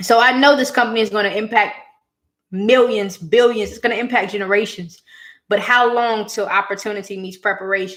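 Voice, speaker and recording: A normal speaking voice from a woman at a fairly high pitch, a fairly quick pace, fairly even intonation and big swings in loudness. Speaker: education entrepreneur and scholarship coach. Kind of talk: live-stream talk to viewers. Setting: YouTube live stream.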